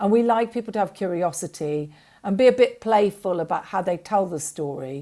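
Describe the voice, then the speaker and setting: A woman with an English accent speaks fairly quickly at a medium pitch, her dark, mellow tone carried by lively intonation on a very clean recording with a silent background. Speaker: documentary fund representative. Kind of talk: panel interview. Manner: hesitant, many fillers.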